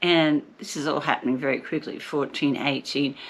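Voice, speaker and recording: A woman talks at a fairly quick pace. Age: 60s. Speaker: vlogger documenting her cancer journey. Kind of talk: personal vlog.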